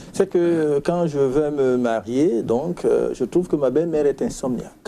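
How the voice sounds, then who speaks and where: Keeping very even loudness, a man with an ordinary speaking voice talks at a fairly slow pace in a fairly high pitch with ordinary pitch variation. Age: 60s. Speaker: retired physician, sleep medicine specialist. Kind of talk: interview.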